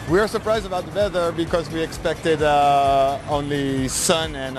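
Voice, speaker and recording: A man with a French accent at a moderate pace, over noticeable background noise. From France. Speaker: karting team member, vehicle dealer. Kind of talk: interview. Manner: halting.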